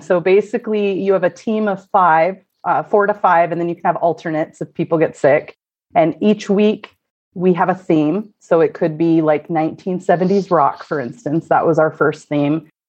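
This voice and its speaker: A woman with a Pacific Northwest accent talks at a moderate pace. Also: fairly low pitch for a woman, ordinary pitch variation. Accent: general American, Pacific Northwest. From US Pacific Northwest, Oregon (Corvallis). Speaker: true crime podcaster. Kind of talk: casual chat.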